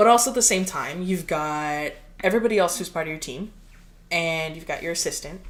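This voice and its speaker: Fairly low in pitch, a woman speaks at a moderate pace in a room with audible echo. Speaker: podcast co-host, artist. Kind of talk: casual chat. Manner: loud.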